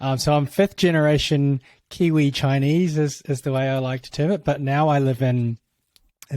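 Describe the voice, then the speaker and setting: A moderate pace, with a New Zealand accent. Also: man. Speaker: tech executive for creator platforms. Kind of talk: podcast interview. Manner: halting, many fillers.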